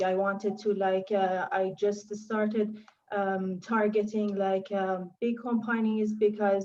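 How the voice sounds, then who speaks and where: A woman speaks with a non-native accent at a fairly slow pace. Her medium-pitched voice has a dark, mellow tone and a monotone, flat intonation. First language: not English. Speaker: engineer, panelist. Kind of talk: panel talk. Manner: halting, many fillers.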